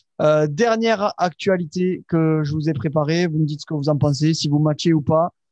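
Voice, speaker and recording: A man speaks in a fairly high pitch with a dark, mellow tone and fairly even intonation. The sound is dry and close with no echo. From Toulouse area, southwest France. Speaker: podcast host. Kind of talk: casual chat. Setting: live stream.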